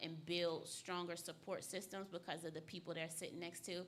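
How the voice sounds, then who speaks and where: A woman's fairly low voice with a bright, sharp tone and audible room echo. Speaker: community youth program leader. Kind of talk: interview. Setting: stage with audience. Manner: passionate.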